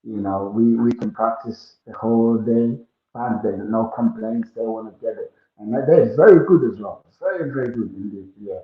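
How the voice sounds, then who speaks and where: This man has an African accent. His loudness swings in big ways. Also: moderate pace. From Ghana. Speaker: musician and entrepreneur. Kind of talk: interview.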